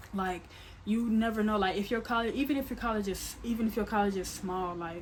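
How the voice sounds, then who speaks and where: Fairly high in pitch, a woman talks at a fairly quick pace with fairly even intonation. Noticeable background noise and audible room echo surround her voice. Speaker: YouTuber. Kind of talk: casual vlog monologue. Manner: stuttering, filler-heavy.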